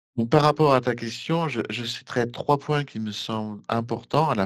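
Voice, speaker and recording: A man with an ordinary speaking voice and a medium pitch talks at a moderate pace with ordinary pitch variation against a quiet background. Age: 60s. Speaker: engineer and election candidate. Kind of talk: interview.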